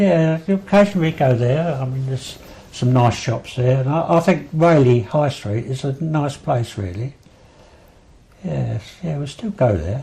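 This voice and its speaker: A man's medium-pitched voice in an Essex accent, with lively intonation at a fairly slow pace. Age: 80s+. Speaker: local elder recalling memories. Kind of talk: oral history interview. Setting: at home. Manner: halting, many fillers.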